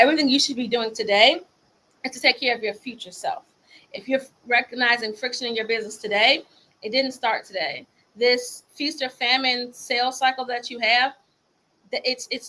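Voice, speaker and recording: A woman speaks in a high, bright and sharp voice with an animated tone. Her loudness swings widely, and she takes long, frequent pauses. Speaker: business coach. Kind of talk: motivational talk. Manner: fast.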